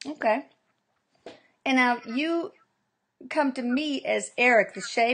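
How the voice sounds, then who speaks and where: Against a quiet background, a woman in a Texas accent speaks with ordinary pitch variation. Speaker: interviewer, bereaved mother. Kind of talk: interview.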